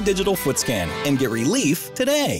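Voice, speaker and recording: A man speaks with music in the background. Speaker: voice actor. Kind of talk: TV commercial read. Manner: casual, conversational.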